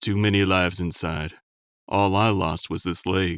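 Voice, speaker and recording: A put-on character voice moves at a moderate pace in a monotone, flat delivery, captured on a very clean recording with a silent background. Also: man. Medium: read story. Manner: weary, rueful.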